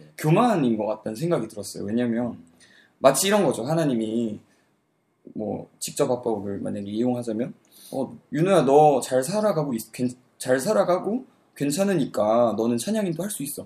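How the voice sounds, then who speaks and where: Big swings in loudness and very wide pitch swings mark a man's medium-pitched voice, dark and mellow in tone, at a moderate pace. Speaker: university student, worship team leader. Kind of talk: casual chat.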